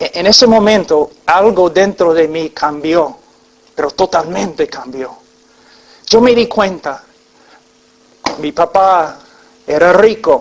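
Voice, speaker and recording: At a very slow pace with long, frequent pauses, a man speaks in a high pitch with ordinary pitch variation, and noticeable background noise fills the recording. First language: English (speaking Spanish). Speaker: preacher. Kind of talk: sermon with personal testimony. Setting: church congregation. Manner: halting, with fillers.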